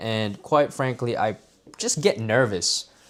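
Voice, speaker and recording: Here a man talks at a medium pitch. His pitch variation is ordinary. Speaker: live streamer. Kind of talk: casual live stream monologue. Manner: loud.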